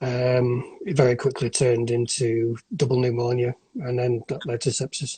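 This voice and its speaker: A northern English accent comes through a dark, mellow, somewhat breathy tone. The intonation is monotone and flat, with a dry, close sound and no echo. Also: man. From northern England, near Blackpool. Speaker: sepsis survivor. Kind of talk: interview testimony. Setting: Instagram live video call. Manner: halting, many false starts.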